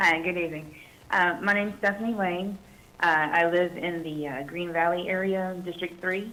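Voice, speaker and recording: A woman's fairly low voice at a moderate pace, fairly even in intonation, with audible room echo. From Fayetteville, North Carolina. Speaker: army veteran, public commenter. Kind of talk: public comment at council meeting.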